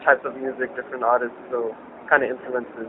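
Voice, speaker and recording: Very fast, monotone speech from a man at medium pitch, with flat intonation and noticeable background noise. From South Africa, Johannesburg. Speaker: hip-hop artist. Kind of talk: interview. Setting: cafe. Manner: casual, hesitant with fillers.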